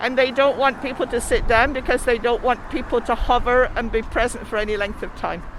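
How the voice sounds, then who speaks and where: In an English accent, a high-pitched woman speaks fairly quickly in a monotone, flat delivery over noticeable background noise. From England. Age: 70s. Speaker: rally attendee. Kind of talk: casual chat.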